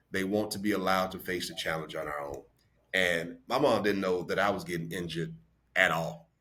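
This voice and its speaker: The voice has a bright, sharp tone and ordinary pitch variation, moving at a fairly quick pace amid audible room echo. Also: man, very deep, low pitch for a man. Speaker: podcast co-host discussing books. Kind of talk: casual chat.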